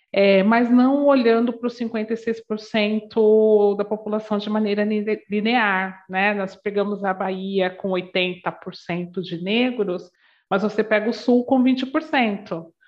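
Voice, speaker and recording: Her speech comes very slowly. The woman's intonation holds fairly even. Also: fairly high pitch for a woman. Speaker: diversity and anti-racist education consultant. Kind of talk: interview. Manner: warm, loving tone.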